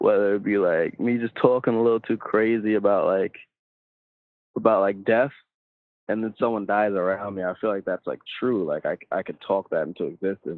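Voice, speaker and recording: Speaking at a moderate pace with a New York accent, a man has a fairly low pitch and fairly even intonation. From Long Island, New York. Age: 20s. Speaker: rapper. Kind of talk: casual interview.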